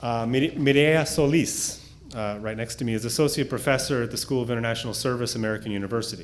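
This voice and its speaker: Noticeable background noise accompanies very fast speech with hardly any pauses and ordinary pitch variation. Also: man, medium pitch for a man. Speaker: professor introducing panelists. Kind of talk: formal speaker introductions, reading bios.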